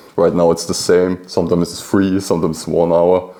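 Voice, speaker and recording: Noticeable background noise behind a man's very deep, low voice. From Austria, Lower Austria. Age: 20s. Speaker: team member, coordinator. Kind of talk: interview. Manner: hesitant, many fillers.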